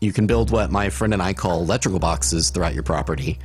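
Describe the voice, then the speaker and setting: Vocal fry colors this man's voice. He talks at a fairly quick pace. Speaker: gaming video creator. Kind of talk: gameplay tutorial narration.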